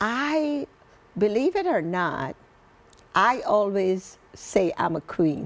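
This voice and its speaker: A woman's medium-pitched voice at a very slow pace, full of very wide pitch swings and long, frequent pauses. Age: 60s. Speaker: author sharing life story. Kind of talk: interview testimony.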